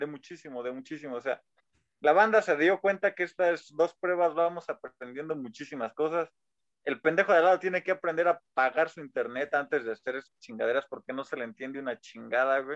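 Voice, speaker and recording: The recording is dry and close with no echo. A man speaks at a fairly high pitch and a fairly quick pace. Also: ordinary pitch variation. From rural Mexico. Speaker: podcast co-host. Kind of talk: casual chat.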